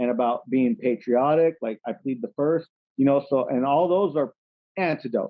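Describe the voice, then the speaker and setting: A man speaks in a normal speaking voice with an American accent. His pitch is fairly high, with ordinary variation, at a moderate pace. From California. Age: 30s. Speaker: rapper. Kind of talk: casual chat.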